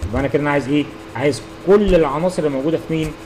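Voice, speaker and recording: Against noticeable background noise, a man with an Egyptian accent speaks at a fairly high pitch. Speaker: university lecturer. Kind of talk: tutorial.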